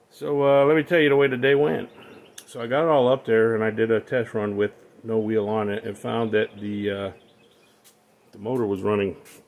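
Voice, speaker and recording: With long, frequent pauses, a man talks at a moderate pace and with ordinary pitch variation. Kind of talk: casual vlog chat. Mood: relaxed storytelling. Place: garden. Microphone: phone near.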